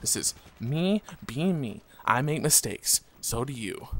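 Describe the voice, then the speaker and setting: Recorded dry and close with no echo, a man talks at a medium pitch. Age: 20s. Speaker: gaming commentator. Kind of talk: gameplay commentary. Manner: monotone; halting.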